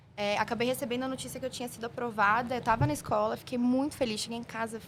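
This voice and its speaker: A woman talks at a very fast pace. Her pitch is fairly high, and her intonation is fairly even. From São Paulo, south zone. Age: 20s. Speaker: merchandising analyst. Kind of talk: podcast interview.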